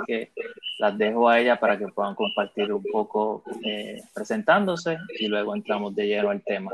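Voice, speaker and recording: A man is speaking. His pace is fairly slow. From Puerto Rico. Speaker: podcast host. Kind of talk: panel discussion.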